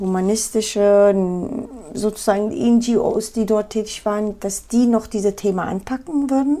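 A woman with an Afghan accent, fairly high in pitch, at a very slow pace with ordinary pitch variation. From Afghanistan, Kabul. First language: Pashto (speaking German). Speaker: photojournalist. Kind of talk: interview.

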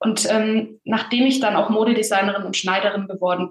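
A somewhat breathy woman's voice at medium pitch, fairly quick in pace, with fairly even intonation. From Bavaria, Germany (small village). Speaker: voice and authenticity coach, actress. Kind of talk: casual interview.

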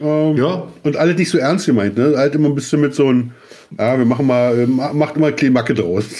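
A man speaks at a moderate pace with fairly high pitch and ordinary pitch variation. His loudness stays very even over noticeable background noise. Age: 40s. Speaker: podcast co-host. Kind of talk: casual chat.

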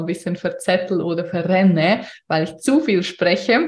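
This is a woman with a somewhat breathy voice. She speaks at a moderate pace. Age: 30s. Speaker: podcast host and business coach. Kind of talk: solo podcast monologue, unscripted.

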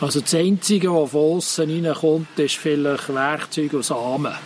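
Noticeable background noise sits under a voice that keeps a moderate pace and ordinary pitch variation. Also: man. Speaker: agronomist. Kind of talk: casual chat.

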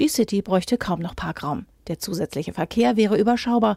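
A woman's somewhat breathy voice, dark and mellow in tone, at a medium pitch and a fairly quick pace, in a dry, close sound with no echo. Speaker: news presenter. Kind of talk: formal newsreading, crisp bulletin-style headlines and short factual items. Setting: studio. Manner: formal; brisk, even and neutral, steady delivery.

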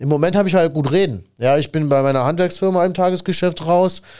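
The man's voice sits at a fairly high pitch, and he talks at a fairly quick pace. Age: 30s. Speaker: podcast host and tradesman business owner. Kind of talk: casual chat. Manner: animated.

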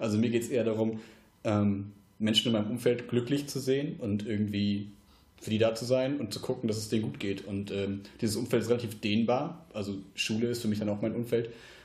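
A man speaks at a fairly quick pace in a medium pitch, somewhat breathy, with fairly even intonation and audible room echo. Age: 20s. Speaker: podcast host. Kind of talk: casual chat. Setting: home podcast studio.

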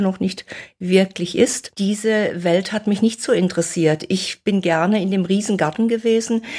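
At a moderate pace, a woman talks at medium pitch with fairly even intonation in an ordinary speaking voice. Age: 60s. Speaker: nutrition author and fasting expert. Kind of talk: interview.

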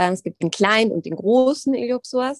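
With a dry, close sound and no echo, a woman speaks at a moderate pace in a fairly high voice with very wide pitch swings. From Rhineland, Germany. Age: 30s. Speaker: yoga teacher. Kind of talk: interview, explanatory.

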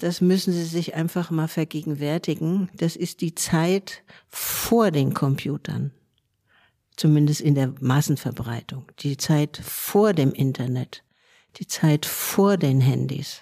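A dark, mellow tone at a very slow pace, in a dry, close sound with no echo. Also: woman, very deep, low pitch for a woman, ordinary pitch variation. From Germany, Frankfurt am Main. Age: 70s. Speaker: sociologist and self-help movement veteran. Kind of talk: interview.

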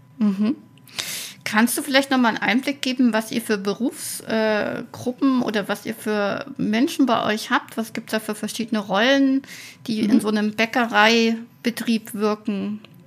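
A woman's fairly high, somewhat breathy voice at a fairly slow pace, with fairly even intonation. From Thuringia, Weimar. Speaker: podcast host. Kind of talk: interview.

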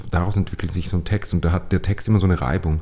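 There is noticeable background noise behind a man whose voice is very deep and low. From Upper Austria, Steyr. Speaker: playwright. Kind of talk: casual interview conversation. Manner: halting, many fillers and restarts.

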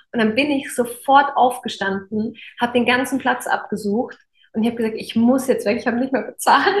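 Pitched high, a woman keeps her intonation fairly even while talking at a fairly quick pace. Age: 30s. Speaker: podcast host and coach. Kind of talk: casual interview chat.

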